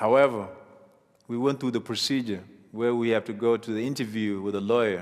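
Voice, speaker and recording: The speaker is a man with a medium-pitched voice. His intonation stays fairly even. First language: African mother tongue (not English). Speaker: refugee sharing life story. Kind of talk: testimony.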